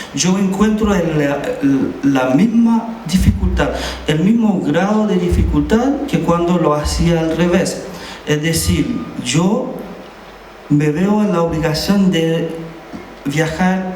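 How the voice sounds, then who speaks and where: A man with a fairly high pitch speaks at a very slow pace, with long, frequent pauses and lively intonation. Noticeable background noise and audible room echo fill the recording. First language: Haitian Creole (speaking Spanish). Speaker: poet. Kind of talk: talk at a literary event. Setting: cultural centre with audience. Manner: halting, with many fillers.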